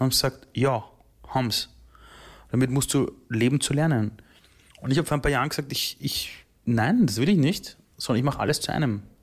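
The speaker is calm and somewhat breathy, moving at a fairly quick pace with long, frequent pauses and ordinary pitch variation in a very clean recording with a silent background. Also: man, medium pitch for a man. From Austria, Vienna. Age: 30s. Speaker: entrepreneur and keynote speaker. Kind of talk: interview.

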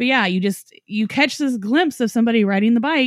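A woman with an unremarkable speaking voice talks at a moderate pace with ordinary pitch variation, the sound dry and close with no echo. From Norman, Oklahoma. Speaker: paranormal podcast host. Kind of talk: casual chat.

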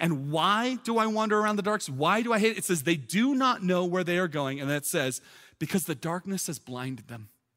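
Loud and high-pitched, a man talks at a fairly quick pace. His pitch swings very widely. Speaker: pastor. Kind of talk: sermon. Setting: church with live audience, streamed online. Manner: fast.

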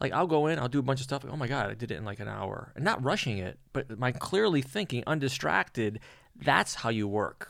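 In a very clean recording with a silent background, a man with a medium pitch and vocal fry speaks at a fairly quick pace with lively intonation. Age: 50s. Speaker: magician. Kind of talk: casual chat.

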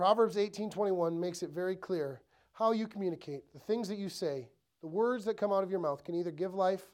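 A man with an American accent talks at a fairly quick pace in a high voice with ordinary pitch variation. The recording is very clean, with a silent background. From Ellsworth, Wisconsin (US Upper Midwest). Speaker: pastor. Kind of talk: sermon. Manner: casual, with frequent fillers.

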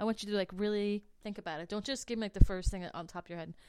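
A woman talks at a very fast pace. She has an American accent. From New Jersey. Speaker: podcast host. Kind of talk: casual interview.

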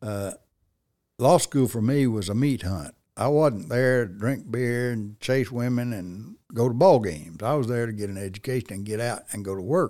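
A man speaks at a moderate pace with a medium pitch and a dark, mellow tone. His pitch variation is ordinary, on a very clean recording with a silent background. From Arkansas. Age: 70s. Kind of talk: casual interview conversation.

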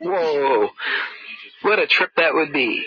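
Clear background noise is heard behind the man's speech. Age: old. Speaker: monologuing man recording his life. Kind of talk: rambling personal monologue, casual, with cursing. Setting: outdoors. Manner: rambling, halting with many fillers.

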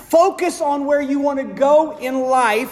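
A man's animated tone at a fairly slow pace, with noticeable background noise and audible room echo. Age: 50s. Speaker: pastor. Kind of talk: sermon.

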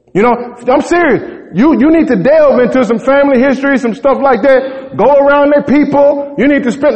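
Distinct background noise sits behind the recording. A man talks over it at a rather quick clip. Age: 40s. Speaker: pastor. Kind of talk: sermon. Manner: animated.

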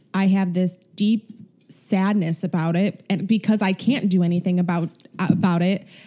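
In a dark, mellow tone, a woman with a Chicago accent speaks at a medium pitch and a fairly slow pace, her loudness very even and her intonation fairly even, on a very clean recording with a silent background. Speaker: podcast co-host.

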